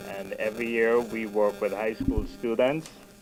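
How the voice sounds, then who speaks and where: A man with an American accent and medium pitch, at a fairly slow pace with lively intonation, music in the background. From Jamaica. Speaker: non-profit scholarship program director. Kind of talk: radio interview. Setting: studio.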